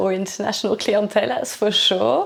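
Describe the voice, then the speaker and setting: A woman speaks over noticeable background noise. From UK and Belgium. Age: 40s. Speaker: reflexologist. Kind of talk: interview. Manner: halting.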